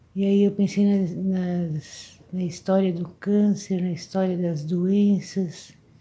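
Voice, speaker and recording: Her voice somewhat breathy and dark, mellow in tone, a woman speaks very slowly with hardly any pauses, at a medium pitch and in a monotone, flat intonation. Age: 70s. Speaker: video blogger. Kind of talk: reflective monologue. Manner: halting.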